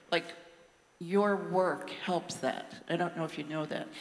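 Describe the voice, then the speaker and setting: Noticeable background noise sits behind this recording. A woman speaks at a fairly low pitch. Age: 70s. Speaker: audience member asking a question. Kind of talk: audience question at panel. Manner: halting.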